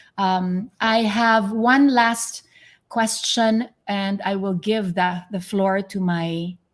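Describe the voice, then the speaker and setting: Recorded very cleanly against a silent background, a woman's somewhat breathy voice sits at a medium pitch with ordinary pitch variation. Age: 50s. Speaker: podcast host. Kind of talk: interview. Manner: animated.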